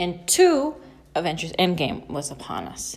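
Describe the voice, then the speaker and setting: A woman speaks very slowly with vocal fry. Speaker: artist and art student. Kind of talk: voiceover narration.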